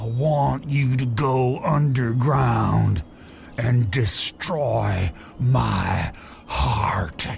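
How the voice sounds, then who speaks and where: A growling put-on character voice from a man at medium pitch, very slow in pace, over clear background noise. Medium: video game. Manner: wry, self-mocking.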